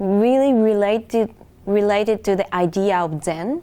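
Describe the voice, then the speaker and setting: In a very clean recording with a silent background, a woman with a Japanese accent speaks at a fairly slow pace with a fairly high pitch and lively intonation. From Japan, Hokkaido. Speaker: international music student. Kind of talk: interview. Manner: halting.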